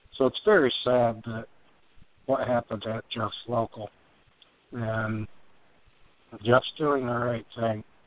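A man speaks at a very slow pace and medium pitch, flat and monotone, with long, frequent pauses. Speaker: co-host.

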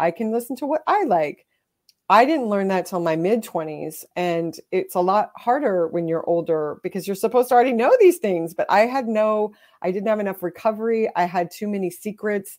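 Here is a woman with an unremarkable speaking voice at a medium pitch, moving at a moderate pace. Her intonation is lively, and the recording is very clean with a silent background. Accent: American. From Texas. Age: 40s. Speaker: memoir author. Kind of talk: interview.

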